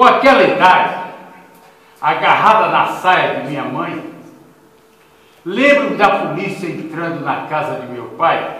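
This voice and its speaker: A man talks fairly slowly at a high pitch, his voice swinging very widely up and down. Background noise is noticeable and room echo can be heard. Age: 80s+. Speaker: retired army general, lecturer. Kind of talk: lecture. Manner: vibrant.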